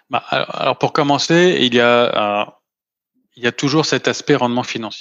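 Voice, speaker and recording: A man talks in an ordinary speaking voice at a medium pitch with ordinary pitch variation. His pace is moderate. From Paris, France. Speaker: venture fund investor. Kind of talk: interview.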